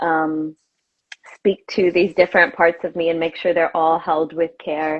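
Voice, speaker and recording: A woman with an American accent, fairly slow and monotone with flat intonation. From US South, Arkansas. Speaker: yoga teacher and activist. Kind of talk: interview conversation.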